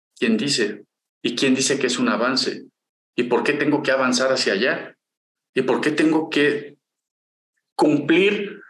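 A man's speech, with ordinary pitch variation, carries audible room echo. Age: 50s. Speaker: podcast co-host, industrial engineer. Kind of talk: casual chat.

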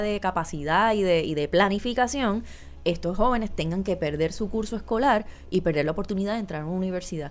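In a Puerto Rican accent, a woman talks at a fairly quick pace and medium pitch with lively intonation. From Puerto Rico, Guayama (south). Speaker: actress. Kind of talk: casual interview.

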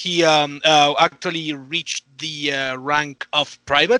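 A man at a fairly slow pace, with a bright, sharp tone and a dry, close sound with no echo. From Mexico. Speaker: podcast guest panelist. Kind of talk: casual chat. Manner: halting.

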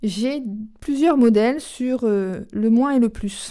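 A woman speaks at a fairly high pitch with ordinary pitch variation and a dark, mellow tone. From Charente, western France. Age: 40s. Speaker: company executive. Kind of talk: interview. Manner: hesitant, with fillers.

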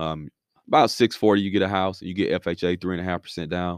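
With a dry, close sound with no echo and a quiet background, a man with an American accent speaks at a very deep, low pitch. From Alabama, US South. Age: 30s. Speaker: entrepreneur and guest. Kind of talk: casual explanatory talk.

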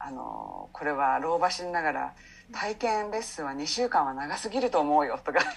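A woman speaks at a moderate pace with a very deep, low pitch. Her pitch swings very widely. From Japan, Saitama. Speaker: English coach, former subtitle translator. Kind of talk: interview conversation.

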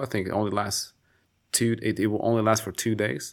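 On a very clean recording with a silent background, a man speaks in an ordinary speaking voice at a fairly low pitch and moderate pace. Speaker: polyglot language teacher. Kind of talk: casual chat.

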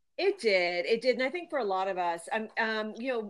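A woman's ordinary speaking voice, fairly high in pitch, with an American accent, ordinary pitch variation and a moderate pace. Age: 50s. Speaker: lifestyle author. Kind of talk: interview.

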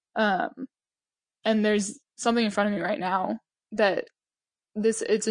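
Her voice is at medium pitch for a woman, with fairly even intonation and a moderate pace. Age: 20s. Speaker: sports psychology student and CrossFit athlete. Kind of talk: casual chat.

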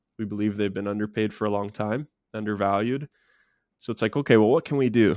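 Very fast speech comes from a man with a fairly low voice. His intonation stays fairly even. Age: 30s. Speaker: tech entrepreneur. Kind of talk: casual interview.

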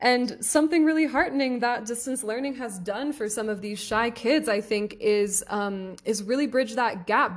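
A woman with a plain, everyday voice, fairly high in pitch, at a moderate pace and with ordinary pitch variation. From US Northeast, Philadelphia area. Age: 20s. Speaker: podcast host, English tutor. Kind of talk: solo podcast monologue. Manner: warm, casual, frequent laughter.

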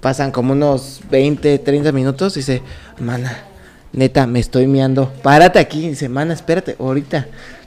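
At a moderate pace, a man talks at a fairly high pitch. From Mexico, Querétaro. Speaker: podcast co-host. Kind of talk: casual chat, telling jokes. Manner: animated.

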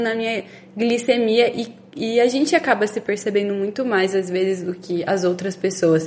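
A woman's fairly slow delivery with ordinary pitch variation, against noticeable background noise. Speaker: podcast co-host with type 1 diabetes. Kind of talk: casual chat.

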